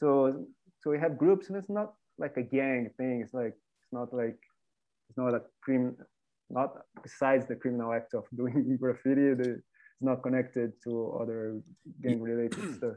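Speaking with a Portuguese accent at medium pitch, a man moves at a moderate pace with ordinary pitch variation and long, frequent pauses. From Brazil, Rio de Janeiro. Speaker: graffiti artist. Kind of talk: casual interview.

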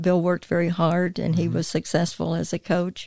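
A woman with a North Carolina accent speaks at a moderate pace in a fairly low pitch, her dark, mellow tone held to a monotone, flat intonation, with a dry, close sound and no echo. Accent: Southern US (North Carolina). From US South, High Point, North Carolina. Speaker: church staff assistant. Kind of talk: interview testimony. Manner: talkative.

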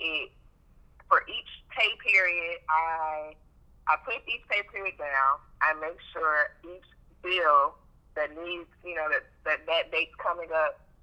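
A woman speaks at a very slow pace in a fairly low pitch. Her pitch variation is ordinary, and her loudness swings widely. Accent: American. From Chicago South Side, US. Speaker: accountant and business owner. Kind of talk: casual chat.

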